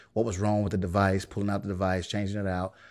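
A man's fairly low voice with an American accent, in a very clean recording with a silent background. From US South, Birmingham, Alabama. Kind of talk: interview. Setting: studio.

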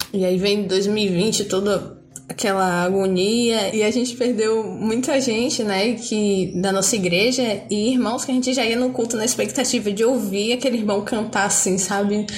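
With hardly any pauses, a woman speaks at a moderate pace and fairly high pitch, her intonation fairly even, with audible room echo in the recording. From Bahia, Brazil. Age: 20s. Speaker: student and churchgoer. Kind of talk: casual chat.

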